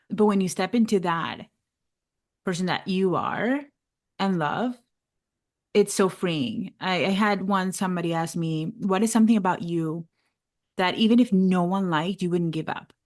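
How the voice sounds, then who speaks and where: Speaking with a Venezuelan accent at a moderate pace, the voice shows ordinary pitch variation. Long, frequent pauses break it up against a quiet background. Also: woman, medium pitch for a woman. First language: Spanish. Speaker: life coach and podcast host. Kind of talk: casual interview chat. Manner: laughs often.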